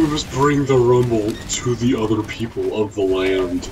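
A man at medium pitch puts on a character voice and keeps a moderate pace. Clear background noise can be heard behind him. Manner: grunting, simple, solemn.

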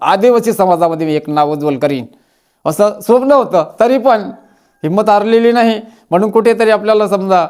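This is a man talking. His pitch is high. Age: 60s. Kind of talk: advice talk to camera. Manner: halting, repeated fillers.

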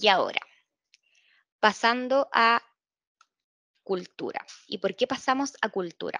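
In a dry sound with no echo and a quiet background, a woman speaks very slowly with long, frequent pauses, lively intonation and a bright, sharp tone. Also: fairly high pitch for a woman. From Concepción, Chile; Chile. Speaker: employer branding analyst at a bank; webinar presenter. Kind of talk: webinar presentation. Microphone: video call.

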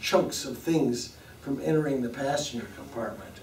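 A man talks at a fairly slow pace with ordinary pitch variation. Light background noise and audible room echo surround him. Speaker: lecturer. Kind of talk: lecture. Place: classroom.

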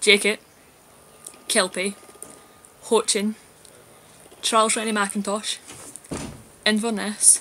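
Light background noise sits behind a woman with a Glasgow accent. She speaks at a medium pitch and a moderate pace. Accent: Glasgow Scottish. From Scotland, Glasgow. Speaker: video blogger. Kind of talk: casual vlog, reading a word list aloud. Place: home room. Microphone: webcam.

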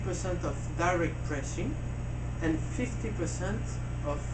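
Loud background noise surrounds a man's voice. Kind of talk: interview answer. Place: shop.

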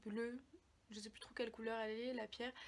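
A woman speaks in a fairly high pitch. Her intonation stays monotone and flat. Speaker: book YouTuber. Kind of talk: casual book review vlog. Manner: hesitant, many fillers. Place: home room. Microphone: phone near.

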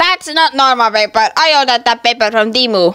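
A female-sounding cartoonish character voice, high in pitch, moves at a fairly quick pace.

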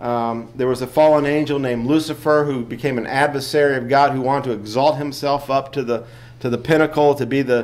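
A man talks at a fairly quick pace. His intonation stays monotone and flat. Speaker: lay teacher. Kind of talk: Sunday school lesson. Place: church. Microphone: podium.

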